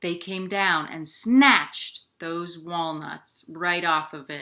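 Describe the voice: A bright, sharp tone at a slow pace, with ordinary pitch variation. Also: woman, fairly low pitch for a woman.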